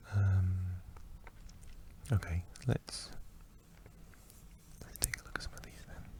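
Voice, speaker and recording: A man whispers fairly slowly, pausing often and at length. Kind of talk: ASMR facts ramble. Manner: soft-spoken.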